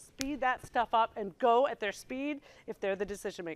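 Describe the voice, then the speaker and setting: The woman's voice carries an animated tone. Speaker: software consultant and presenter. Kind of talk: presentation to user group. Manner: fast.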